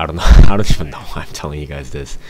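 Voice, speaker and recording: A man's voice, with ordinary pitch variation, comes through over noticeable background noise. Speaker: gaming commentator. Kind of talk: gameplay commentary. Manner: halting, many fillers.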